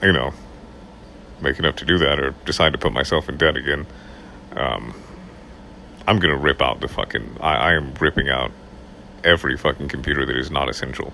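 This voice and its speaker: Over noticeable background noise, a man talks at a fairly quick pace with a very deep, low pitch. He takes long, frequent pauses, and his pitch varies in an ordinary way. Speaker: audiobook narrator. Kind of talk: casual talk to camera.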